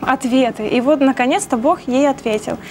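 A woman talks at a moderate pace with a high pitch and ordinary pitch variation. Light background noise is audible. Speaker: program guest booker and massage therapist. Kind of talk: personal testimony. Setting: TV studio. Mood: calm, reflective. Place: studio. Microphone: lapel.

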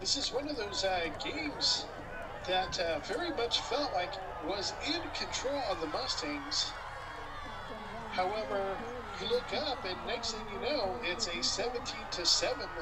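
The pace is fairly slow. Crowd noise can be heard in the background. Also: man. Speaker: game commentator. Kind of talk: sports play-by-play commentary. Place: stadium.

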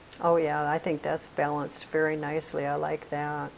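A woman's low voice with vocal fry, monotone and flat in intonation, at a moderate pace.

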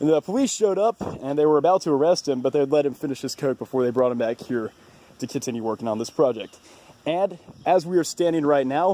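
Over a dry sound with no echo, a man speaks in a dark, mellow tone with lively intonation. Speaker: video tour host. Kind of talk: casual tour narration. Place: open country. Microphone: phone near.

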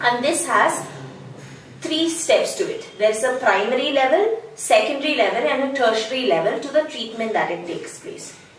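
Her voice sits high for a woman, moving at a moderate pace over light background noise with audible room echo. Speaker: teacher trainer. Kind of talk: tutorial. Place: home room. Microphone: camera far.

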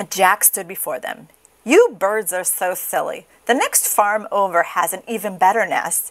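The voice is plain reading aloud. It reads straight through.

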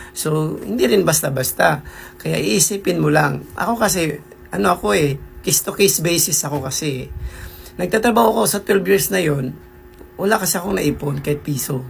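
Speech at a fairly quick clip, with noticeable background noise. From Philippines. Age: 40s. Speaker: vlogger. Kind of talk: casual vlog monologue.

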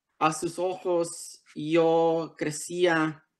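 Against a quiet background, a man speaks with an English accent. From Los Angeles area, US (born Tijuana, Mexico); Los Angeles. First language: English (speaking Spanish). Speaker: author. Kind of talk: prepared essay read aloud. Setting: video call. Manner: halting, many fillers. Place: home room. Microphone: video call.

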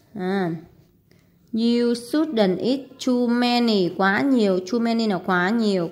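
A woman speaks very slowly with a fairly high pitch and ordinary pitch variation, and audible room echo can be heard. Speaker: English teacher. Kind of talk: tutorial. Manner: hesitant, many fillers.

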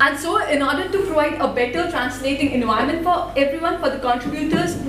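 Speaking at a very fast pace with an Indian accent and ordinary pitch variation, a woman is heard over light background noise with audible room echo. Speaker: student developer and open source volunteer. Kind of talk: conference talk. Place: hall.

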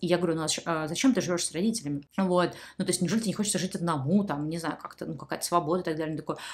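Speaking very fast, a woman uses a fairly low pitch with ordinary pitch variation. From Saint Petersburg, Russia. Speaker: YouTube blogger answering viewer questions. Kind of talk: casual monologue, advice to viewers. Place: home room.

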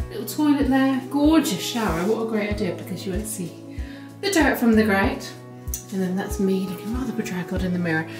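A woman speaks at a fairly quick pace while clear music plays in the background. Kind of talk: casual vlog chat. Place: home room.

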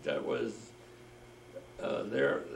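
Male speech carrying audible room echo, plus light background noise. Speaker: war veteran. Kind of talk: oral history interview. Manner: halting. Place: home room. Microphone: camera far.

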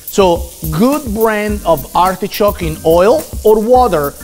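Faint music can be heard behind the voice. It belongs to a man. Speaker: chef host. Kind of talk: cooking show tutorial.

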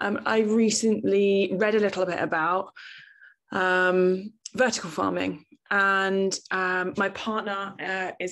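A woman's medium-pitched, fairly bright voice at a slow pace, with little pitch movement

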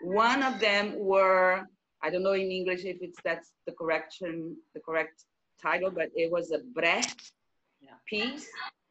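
A woman with a Brazilian accent talks at a fairly slow pace with ordinary pitch variation. Her loudness swings widely over light background noise. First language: Portuguese. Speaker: theatre director and choreographer. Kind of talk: casual chat. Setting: video call. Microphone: video call.

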